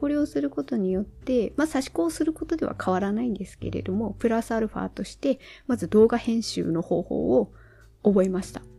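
A woman with vocal fry speaks at a fairly quick pace, her medium pitch swinging very widely, in a very clean recording with a silent background. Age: 40s. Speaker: solo podcaster. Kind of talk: casual solo monologue.

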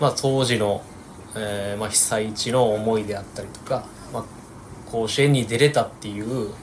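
A man speaks at a moderate pace and medium pitch, with fairly even intonation. His loudness swings widely, and there is noticeable background noise. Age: 20s. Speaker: PE teacher and baseball team manager. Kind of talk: interview. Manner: halting.

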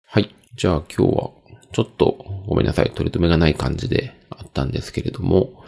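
A man speaks in a very deep, low pitch with vocal fry. His tone is relaxed. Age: 40s. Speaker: podcast host. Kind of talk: casual solo monologue. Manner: many filler words, relaxed.

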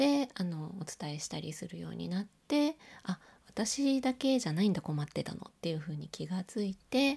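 A woman with a dark, mellow tone and a somewhat breathy, medium-pitched voice speaks at a moderate pace, her pitch swinging very widely. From Osaka. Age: 40s. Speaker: podcaster, illustrator and graphic designer. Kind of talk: solo audio diary monologue. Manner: casual with frequent fillers.

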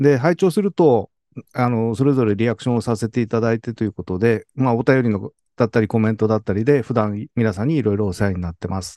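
Very fast speech comes from a man with a medium-pitched, dark, mellow voice and ordinary pitch variation. The sound is dry and close with no echo, over a quiet background. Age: 60s. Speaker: podcast listener. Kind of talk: slide presentation. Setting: video call. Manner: formal.

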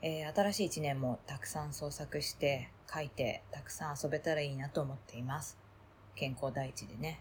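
Somewhat breathy, a woman speaks at a very deep, low pitch. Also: ordinary pitch variation, moderate pace. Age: 40s. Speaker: voice diary podcaster. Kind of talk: casual personal voice diary monologue.

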